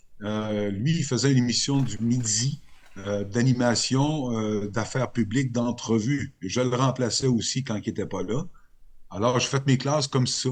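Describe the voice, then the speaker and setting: Speaking fairly slowly, a man keeps his intonation fairly even. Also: medium pitch for a man. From Quebec, Côte-Nord (Sept-Îles). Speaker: radio journalist. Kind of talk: interview. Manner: hesitant, many fillers.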